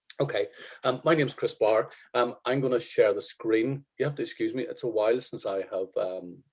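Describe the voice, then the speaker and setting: A man speaks at a moderate pace with a Northern Irish accent. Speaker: photographer. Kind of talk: workshop. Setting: video call. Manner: hesitant.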